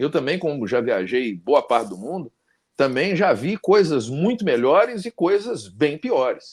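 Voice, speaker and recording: Very wide pitch swings from a man with vocal fry and a fairly high pitch, in a very clean recording with a silent background. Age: 50s. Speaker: talk show host and law professor. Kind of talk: casual interview chat.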